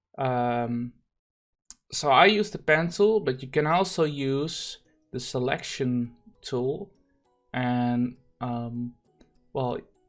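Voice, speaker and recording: The speech crawls along very slowly, broken by long, frequent pauses, with music playing behind it. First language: not English. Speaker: gaming streamer and thumbnail designer. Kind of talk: tutorial. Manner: halting, many fillers.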